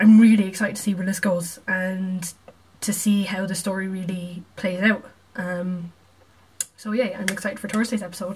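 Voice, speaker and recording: Against noticeable background noise, a woman speaks at a moderate pace in a medium pitch with monotone, flat intonation. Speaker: video reactor. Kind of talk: reaction video, casual chat. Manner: casual, chatty.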